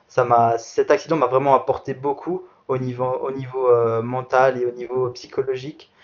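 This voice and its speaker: The man's medium-pitched voice stays in a flat monotone. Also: moderate pace. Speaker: para athlete. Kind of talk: interview. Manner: halting.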